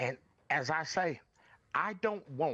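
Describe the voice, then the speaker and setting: A man is speaking here. He has a Southern US accent. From US South, rural North Carolina. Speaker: podcast guest. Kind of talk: impassioned interview talk. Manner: animated, emphatic.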